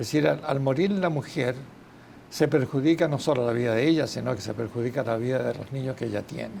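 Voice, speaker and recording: Fairly quick in pace, a man speaks in a dark, mellow tone at a medium pitch with ordinary pitch variation. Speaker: gynecologist and obstetrician. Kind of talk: TV interview. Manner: halting.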